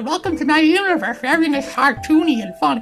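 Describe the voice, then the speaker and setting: A high-pitched, cartoonish character voice rattles along at a very fast pace with clear background noise behind it. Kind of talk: put-on cartoon voice. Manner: cartoony, cheerful, fun.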